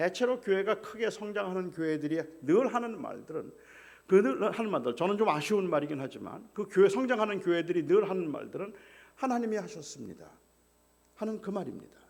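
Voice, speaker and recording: A man with a high pitch, a fairly quick pace, and lively intonation. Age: 60s. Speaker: guest pastor. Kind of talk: sermon.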